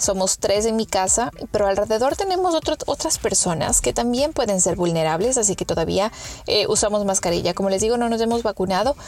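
A woman speaks at a medium pitch and a fairly quick pace, with lively intonation. Her loudness stays very even over noticeable background noise. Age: 30s. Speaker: podcast host. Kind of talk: casual monologue.

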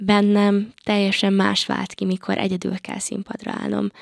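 Very clean, silent-background audio of a woman speaking. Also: dry, close sound with no echo. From Hungary, Paks area. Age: 20s. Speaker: singer, talent show contestant. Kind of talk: interview. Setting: studio. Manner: halting, many filler sounds.

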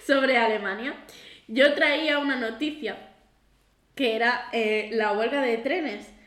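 A woman's high-pitched voice at a very slow pace, with long, frequent pauses and audible room echo. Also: ordinary pitch variation. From Catalonia, Girona. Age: 20s. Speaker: podcast co-host, school assistant. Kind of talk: casual chat.

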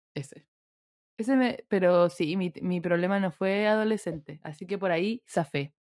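Speaking with a Chilean accent and ordinary pitch variation, this voice has a dry, close sound with no echo. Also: woman, medium pitch for a woman, fairly slow pace. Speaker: podcast co-host. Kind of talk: casual chat.

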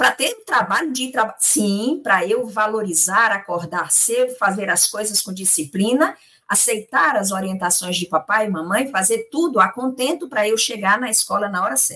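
A woman talks in a normal speaking voice at a fairly high pitch. Her pace is moderate and her intonation lively. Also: hardly any pauses. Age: 50s. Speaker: spiritist lecturer. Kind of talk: religious study discussion.

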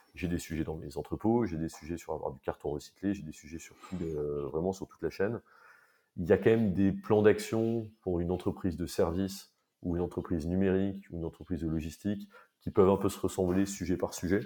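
Speaking at a fairly quick pace, a man with a very deep, low pitch and a dark, mellow tone shows ordinary pitch variation and big swings in loudness. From France, Paris. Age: 30s. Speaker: company co-founder. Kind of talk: interview. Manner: halting.

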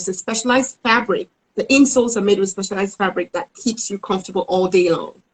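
A woman's somewhat breathy voice with lively intonation, in a dry, close sound with no echo. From Cameroon. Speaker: entrepreneur. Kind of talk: interview.

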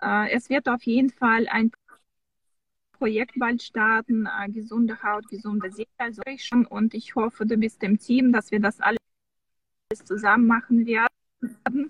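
A woman with a Russian accent speaks at a fairly high pitch and a fairly slow pace, her somewhat breathy voice fairly even in intonation, with long, frequent pauses, recorded in a dry, close sound with no echo. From Russia (Samara). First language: Russian (speaking German). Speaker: skin care specialist at a clinic, online show host. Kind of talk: casual online interview. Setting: in a car, video call.

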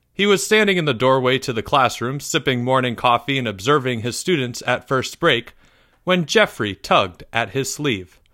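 The speaker reads aloud plainly but with lively intonation.

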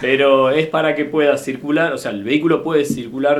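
Fairly quick speech with audible room echo and noticeable background noise. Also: man. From Argentina, Necochea (Buenos Aires province). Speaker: vehicle inspection plant manager. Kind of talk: interview. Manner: halting.

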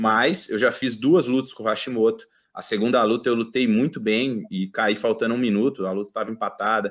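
With an ordinary speaking voice, a man at medium pitch talks at a fairly quick pace with ordinary pitch variation and hardly any pauses, on a very clean recording with a silent background. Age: 30s. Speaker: judo athlete. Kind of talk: casual interview.

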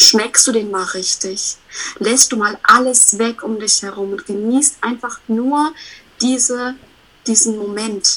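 A woman with a fairly high pitch talks at a very slow pace, her pitch variation ordinary. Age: 30s. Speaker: self-employed coach. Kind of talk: casual interview chat. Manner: animated.

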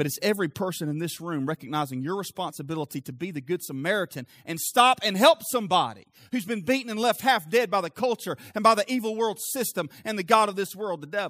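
Animated and bright with a sharp tone, a high-pitched man speaks at a very fast pace with lively intonation and hardly any pauses, the sound dry and close with no echo. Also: very clean recording, silent background. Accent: Southern US. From US South. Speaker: pastor. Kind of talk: sermon, preaching to a live congregation with direct appeals and call-and-response. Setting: church. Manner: animated, fervent, pressing urgently on the congregation; conversational, interjects laughs and asks for 'amen' from the audience.

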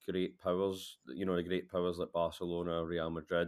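In a Glaswegian accent, a man with a very deep, low pitch speaks at a fairly quick pace. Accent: Glaswegian Scottish. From Scotland, Glasgow. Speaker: football journalist. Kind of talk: casual chat.

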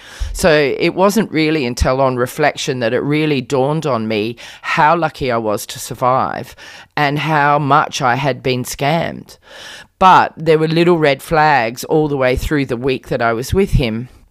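A woman speaks at a fairly slow pace in a very deep, low voice with ordinary pitch variation, on a very clean recording with a silent background. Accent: Australian. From Australia. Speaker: author. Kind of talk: interview.

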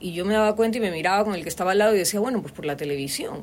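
A woman talks at a very fast pace with lively intonation over noticeable background noise. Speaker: voice-over artist and university lecturer. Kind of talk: casual interview. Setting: studio.

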